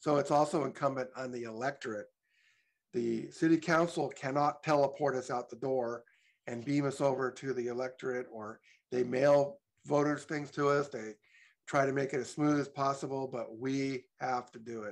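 A man's voice at a fairly high pitch, with fairly even intonation, a moderate pace, big swings in loudness and a quiet background. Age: 60s. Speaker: public commenter. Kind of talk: public comment. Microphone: video call.

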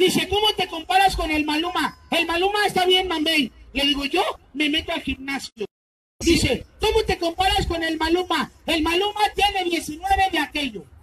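At a moderate pace, the speaker uses a put-on character voice. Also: man, extremely high pitch for a man. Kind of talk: comic overacting. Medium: stage play. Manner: loud, cocky, teasing.

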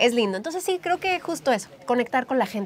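A woman speaks with lively intonation. Light background noise sits behind her. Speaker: interviewee, makeup creator. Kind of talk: interview answer. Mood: warm, cheerful. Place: studio.

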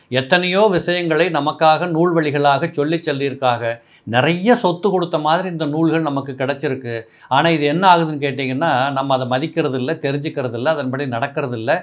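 A man speaks at a fairly high pitch with ordinary pitch variation. The background is quiet. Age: 60s. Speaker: astrologer. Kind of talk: talk to camera, advice monologue. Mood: earnest, instructive. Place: office. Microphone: lapel.

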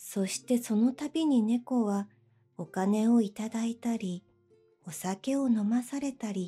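A woman speaks at a fairly slow pace with a fairly high pitch, a calm, soothing tone and lively intonation, while music plays in the background. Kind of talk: bedtime story reading.

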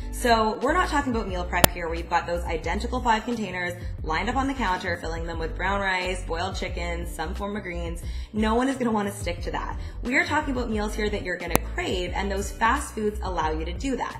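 Clear music plays behind a woman who talks at a fairly quick pace. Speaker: dietitian vlogger. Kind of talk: tutorial. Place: kitchen.

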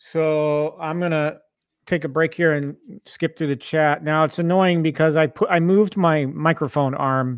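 A man with a fairly high pitch speaks at a moderate pace with fairly even intonation, in a dry sound with no echo over a quiet background. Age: 50s. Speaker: YouTube gaming channel host. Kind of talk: casual livestream chat. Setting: home arcade livestream with mic. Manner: halting, many fillers. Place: home room. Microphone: studio mic.

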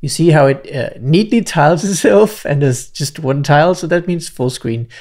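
Against a quiet background, a man speaks at a moderate pace in a somewhat breathy voice. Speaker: software tutorial creator. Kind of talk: tutorial. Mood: cheerful, relaxed. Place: home room. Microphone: studio mic.

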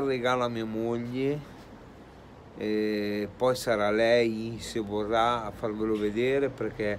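This is a man speaking with fairly even intonation. There is light background noise. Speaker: vlogger. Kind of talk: casual vlog chat. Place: street. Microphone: phone near.

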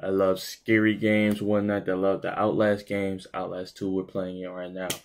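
The voice is flat and monotone in intonation. It belongs to a man. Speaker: gaming youtuber. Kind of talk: casual vlog chat.

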